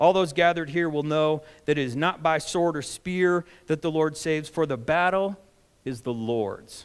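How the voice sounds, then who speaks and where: A man with an unremarkable speaking voice talks at a moderate pace with a fairly high pitch. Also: very clean recording, silent background. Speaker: pastor. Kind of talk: sermon delivered to a congregation.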